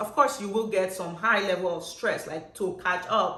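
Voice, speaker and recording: A woman's animated voice at a moderate pace, with audible room echo and noticeable background noise. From Nigeria. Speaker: nurse. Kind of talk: vlog monologue.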